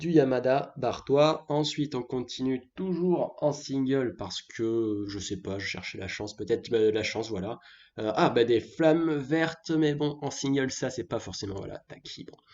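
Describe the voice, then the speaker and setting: A man with a normal speaking voice and medium pitch talks at a fairly slow pace with hardly any pauses, lively intonation and big swings in loudness. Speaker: gaming youtuber. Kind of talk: gameplay commentary. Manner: casual.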